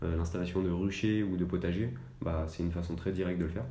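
Room echo is audible as a man speaks at a fairly quick pace in a monotone, flat delivery. His voice is very deep and low, with a dark, mellow tone. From France, Annecy (Haute-Savoie). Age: 20s. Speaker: environmental association staff member. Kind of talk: podcast interview. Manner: hesitant, many fillers.

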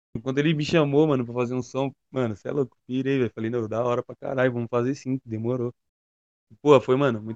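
Recorded with a dry, close sound and no echo, a man speaks at a very fast pace and a medium pitch. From São Paulo east zone, Brazil. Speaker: trap rapper. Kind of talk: casual interview.

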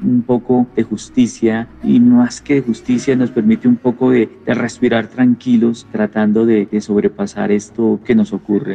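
A man's medium-pitched voice, dark and mellow in tone, fairly slow and fairly even in intonation, in a dry, close sound with no echo. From Colombia, Nariño then Bogotá. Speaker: comics writer. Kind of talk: reflective interview monologue. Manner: halting, with many repetitions.

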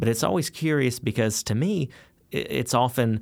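A man with an unremarkable speaking voice keeps a moderate pace and ordinary pitch variation, captured in a very clean recording with a silent background. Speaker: pastor. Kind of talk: casual chat.

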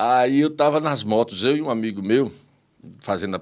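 A very clean recording of a man against a silent background. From Viçosa, interior of Rio Grande do Norte, Brazil. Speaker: comedian. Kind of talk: casual interview chat.

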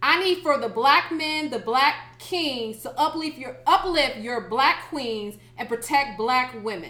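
With an American accent, a woman speaks in a raised, projected voice, high in pitch and at a fairly slow pace. She leaves hardly any pauses, and noticeable background noise is present. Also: lively intonation. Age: 30s. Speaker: podcast co-host. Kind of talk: casual chat.

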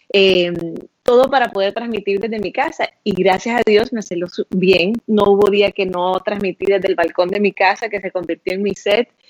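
Here is a woman in an ordinary speaking voice at a medium pitch and moderate pace. Her intonation is fairly even, and the sound is dry and close with no echo. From Honduras. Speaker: TV journalist. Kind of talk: interview conversation. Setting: Facebook Live stream.

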